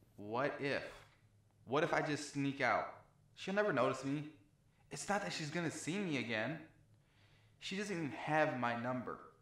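A man talks at a moderate pace, leaving long, frequent pauses. Room echo is audible around him. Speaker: actor in a comedy sketch. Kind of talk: dramatic monologue to himself. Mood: anxious, panicked. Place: bathroom. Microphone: camera far.

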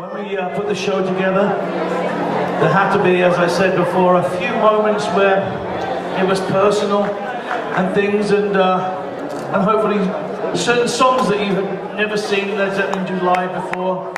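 Amid loud background noise and audible room echo, a man speaks at a moderate pace with long, frequent pauses. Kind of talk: stage talk to audience. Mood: warm, personal, sentimental. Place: stage.

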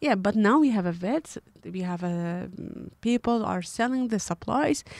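A woman's lively intonation in a dry, close sound with no echo. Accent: Kurdish. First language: Kurdish. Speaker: animal rights activist. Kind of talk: interview.

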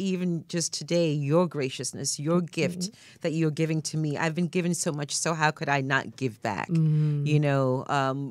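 Over a quiet background, a woman with a very deep, low pitch talks at a fairly slow pace with hardly any pauses and fairly even intonation, the sound dry with no echo. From Ghana. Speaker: actor. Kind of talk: interview answer. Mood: grateful, warm. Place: studio. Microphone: studio mic.

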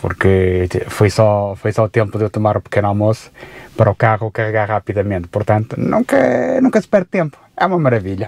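A man speaks at a fairly quick pace in a fairly low pitch, with a dry sound and no echo. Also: ordinary pitch variation. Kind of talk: casual vlog chat. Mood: enthusiastic about fast charging. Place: car. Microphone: phone near.

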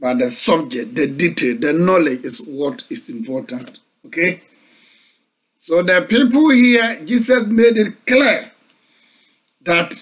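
A man with a Ghanaian accent talks at a fairly slow pace with long, frequent pauses. His high pitch moves in very wide swings. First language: Akan. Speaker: pastor. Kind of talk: sermon. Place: home room. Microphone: webcam.

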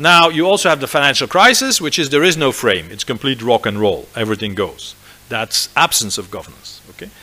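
A man's pitch moves across a very wide range. He talks fairly quickly. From Belgium, Flanders. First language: Dutch (Flemish). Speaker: business school professor. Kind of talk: lecture. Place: hall. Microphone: podium.

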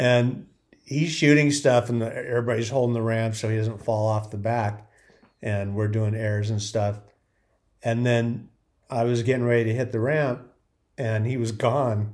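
Against a quiet background, a man speaks at a moderate pace with fairly even intonation and long, frequent pauses. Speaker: former BMX rider commentator. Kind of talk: commentary storytelling. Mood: amused, laughing. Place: home room.

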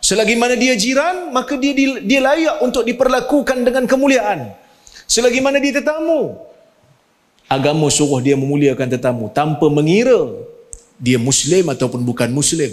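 The background is quiet as a man speaks at an extremely high pitch. His pitch swings very widely. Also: moderate pace. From Malaysia. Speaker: Islamic scholar and university rector; panelist. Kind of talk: religious forum talk. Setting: mosque with audience. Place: church. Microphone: handheld.

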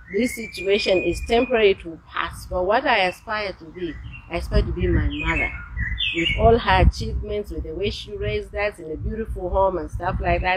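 A woman talks at a fairly quick pace, her loudness swinging widely. Noticeable background noise is present. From Zambia. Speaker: business executive; interview guest. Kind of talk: interview. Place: garden.

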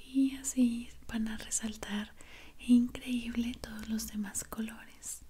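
A soft-spoken woman with a gentle tone speaks very slowly in a monotone, flat intonation over light background noise. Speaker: relaxation video creator. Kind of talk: soft relaxing roleplay talk. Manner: soft, gentle close-mic speaking. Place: home room.

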